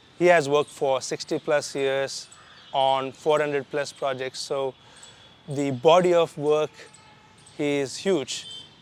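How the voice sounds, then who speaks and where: A man with a fairly high pitch and a flat, monotone intonation, at a fairly slow pace with long, frequent pauses, in a dry, close sound with no echo but noticeable background noise. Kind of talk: casual talk to camera.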